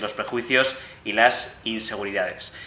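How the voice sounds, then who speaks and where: A man speaks in a Castilian accent. Noticeable background noise and audible room echo surround him. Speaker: podcast host. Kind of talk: show introduction; interview conversation.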